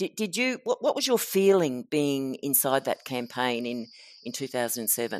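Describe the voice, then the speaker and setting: A woman with an Australian accent speaks in a very deep, low voice with lively intonation, on a very clean recording with a silent background. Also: moderate pace. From Queensland, Australia. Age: old. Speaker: podcast host and author. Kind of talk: interview. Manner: halting.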